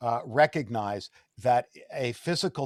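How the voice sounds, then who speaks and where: A man's fairly slow delivery with a dry, close sound and no echo. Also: very clean recording, silent background. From Canada. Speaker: interviewer. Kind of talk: interview. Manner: halting.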